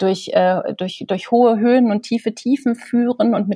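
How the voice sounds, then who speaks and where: In a dry, close sound with no echo, a woman speaks at a moderate pace with a dark, mellow, somewhat breathy tone and ordinary pitch variation. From East Germany, small village. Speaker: bookseller and literary presenter. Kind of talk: casual interview.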